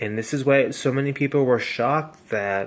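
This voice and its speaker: At a moderate speed, the voice shows ordinary variation in pitch. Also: man. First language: Spanish. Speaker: vlogger. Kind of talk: casual monologue. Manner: halting.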